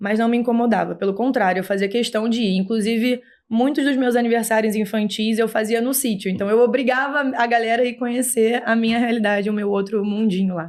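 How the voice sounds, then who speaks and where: Fairly quick, fairly even speech in a strong Rio de Janeiro accent. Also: woman, fairly high pitch for a woman, hardly any pauses. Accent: Rio de Janeiro (carioca) accent, still strong. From Brazil, Rio de Janeiro. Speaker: horse rider and breeder. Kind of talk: podcast interview.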